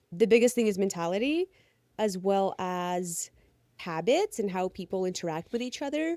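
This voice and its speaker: A woman with a Ukrainian accent talks at a moderate pace in a dark, mellow tone, her pitch swinging very widely, on a very clean recording with a silent background and a dry, close sound with no echo. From Ukraine. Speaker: pole dancer and fitness entertainer. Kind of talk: casual interview chat.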